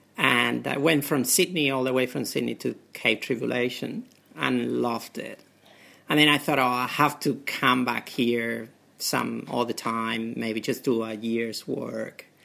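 This voice has a bright, sharp tone, vocal fry, and a Spanish accent. It moves at a fairly slow pace with ordinary pitch variation on a very clean recording with a silent background. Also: man, medium pitch for a man. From Spain. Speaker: doctor. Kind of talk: interview. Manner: halting.

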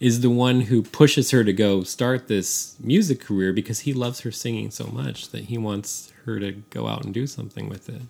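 A man with an ordinary speaking voice and an American accent talks at a moderate pace with hardly any pauses, his medium pitch showing ordinary variation while his loudness swings widely. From San Francisco, US. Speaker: podcast co-host. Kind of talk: casual chat.

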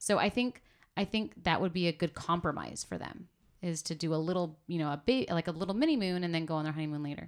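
In an American accent, someone speaks at a very fast pace with ordinary pitch variation, on a very clean recording with a silent background. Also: woman, fairly low pitch for a woman. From San Diego, California. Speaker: podcast guest, recently married. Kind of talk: casual chat.

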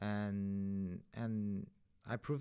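A man talks with a non-native accent. The recording is very clean, with a silent background. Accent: foreign-accented English. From outside the UK, moved to London as an adult. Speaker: podcast host. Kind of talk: casual interview chat.

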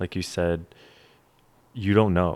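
With an American accent, a man of very deep, low pitch talks at a moderate pace in a dry, close sound with no echo and a silent background on a very clean recording. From New York City. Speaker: bag store founder. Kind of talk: casual chat. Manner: halting.

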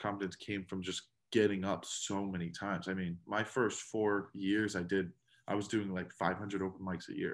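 On a very clean recording with a silent background, a man speaks at a moderate pace in a fairly low pitch with fairly even intonation. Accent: American. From South Florida. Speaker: comedian. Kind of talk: casual chat. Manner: halting.

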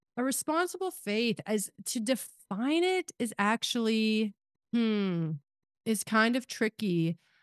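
Against a quiet background, a woman with a fairly high pitch speaks at a very slow pace with very wide pitch swings and very even loudness, the sound dry and close with no echo. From Kansas, rural farm. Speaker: podcast host. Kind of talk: casual chat.

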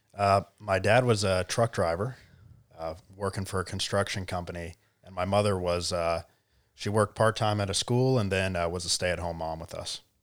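A moderate pace in an American accent, with fairly even intonation and big swings in loudness, on a very clean recording with a silent background. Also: man, very deep, low pitch for a man. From US South, Charleston, South Carolina. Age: 20s. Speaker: tech entrepreneur. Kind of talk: interview. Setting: studio.

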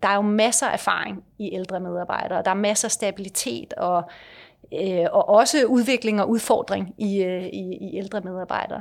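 This woman has an unremarkable speaking voice, medium in pitch with ordinary pitch variation, and talks at a moderate pace. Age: 50s. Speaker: company director. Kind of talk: interview.

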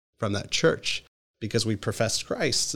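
A man's plain, everyday voice in an American accent at a moderate pace, on a very clean recording with a silent background. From Philadelphia area, Pennsylvania. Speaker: pastor. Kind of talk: interview conversation.

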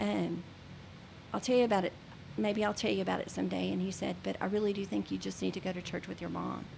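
A woman with a Texan accent. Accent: Texan Southern US. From Texas (Baytown, Gulf Coast). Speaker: church member sharing faith story. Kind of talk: testimony. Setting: studio.

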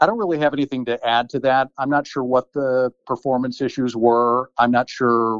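In a dry, close recording with no echo, a man with an ordinary speaking voice talks at a moderate pace and medium pitch with fairly even intonation. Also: quiet background. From Chicago, US Midwest. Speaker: former TV reporter turned attorney. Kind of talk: interview.

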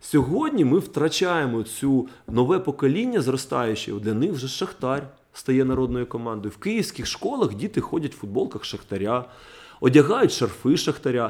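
At a moderate pace, a man speaks with a medium pitch. His tone is animated and his intonation lively. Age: 30s. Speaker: football ultras fan. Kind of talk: heated podcast discussion.

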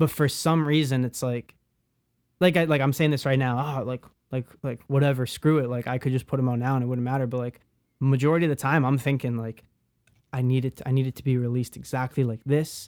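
Here a man talks at a very fast pace. His medium pitch stays monotone, with flat intonation. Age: 20s. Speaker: music producer. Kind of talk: casual chat. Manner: loud.

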